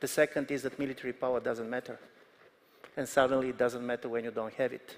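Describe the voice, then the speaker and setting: A man with a Bulgarian accent talks very fast at a medium pitch. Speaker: political analyst. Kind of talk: panel discussion.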